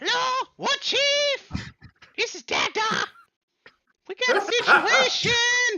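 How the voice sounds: A put-on character voice, squeaky and extremely high in pitch, moves at a very slow pace. Long, frequent pauses break up the delivery.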